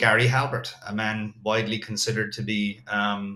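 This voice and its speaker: A man with an Irish accent talks at a moderate pace, his intonation fairly even. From Ireland. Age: 40s. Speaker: copywriter. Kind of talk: interview.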